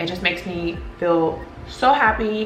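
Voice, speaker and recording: A woman's animated voice with audible room echo and noticeable background noise. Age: 30s. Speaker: graphic designer. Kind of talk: vlog.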